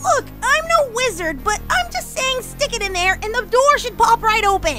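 A female-sounding, put-on character voice with an extremely high pitch speaks at a moderate pace. Clear music plays in the background. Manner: impatient, sarcastic, brash.

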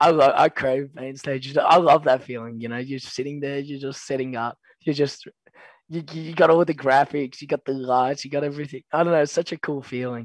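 The speaker has an Australian accent, and the loudness swings widely. The sound is dry and close with no echo, against a quiet background. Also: man, fairly high pitch for a man, fairly even intonation. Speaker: pro esports player. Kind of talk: casual chat. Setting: video call.

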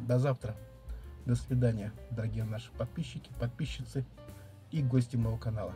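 A man's voice with ordinary pitch variation over faint music in the background. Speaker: mukbang vlogger. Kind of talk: casual vlog chat. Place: home room. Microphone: phone near.

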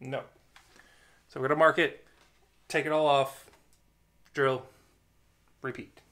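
A man speaks in a bright, sharp tone. His intonation is monotone and flat, his pace fairly slow. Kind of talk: casual vlog chat. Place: workshop. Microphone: phone near.

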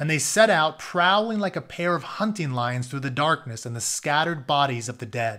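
The voice has a bright, sharp tone and ordinary pitch variation at a moderate pace. The recording is very clean, with a silent background. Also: man, fairly high pitch for a man.

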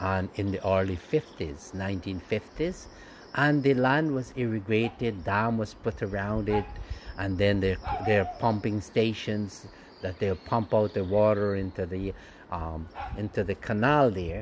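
Over light background noise, a man with an unremarkable speaking voice talks at a fairly slow pace, with a fairly low pitch and ordinary pitch variation. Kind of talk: casual guided tour commentary. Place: open country. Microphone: phone near.

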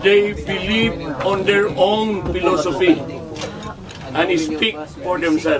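Against noticeable background noise, a man speaks at a very slow pace with ordinary pitch variation. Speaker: speaker. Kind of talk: eulogy speech. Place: open country. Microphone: phone near.

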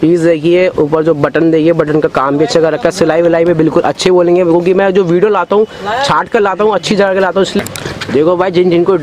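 A man with a high pitch, very even loudness and fairly even intonation, dry with no echo, over noticeable background noise. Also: moderate pace. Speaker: market vlogger. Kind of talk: casual vlog commentary. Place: shop. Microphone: phone near.

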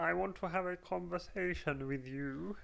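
A croaky, put-on character voice delivers an exaggerated German accent at a middle pitch. The pace is moderate.

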